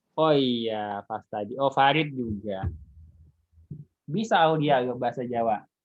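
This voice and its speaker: In a Jakarta accent, a man speaks at a fairly slow pace with long, frequent pauses. His pitch is medium, with ordinary pitch variation. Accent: picks up a Betawi (Jakarta). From Indonesia, not Betawi. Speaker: university lecturer. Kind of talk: online lecture. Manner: casual, with fillers.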